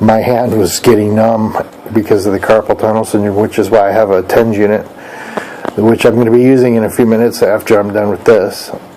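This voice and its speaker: Noticeable background noise sits under a man's fairly low voice. He moves at a fairly quick pace with monotone, flat intonation. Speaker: crafts vlogger. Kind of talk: casual vlog monologue. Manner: quiet, talking low; halting, many fillers.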